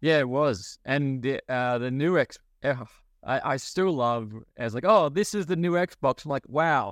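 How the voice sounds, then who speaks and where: In an Australian accent, a man speaks at a fairly slow pace with lively intonation. His pitch is fairly high, and the background is quiet. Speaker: pop culture podcast host. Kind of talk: casual chat. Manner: laughs often.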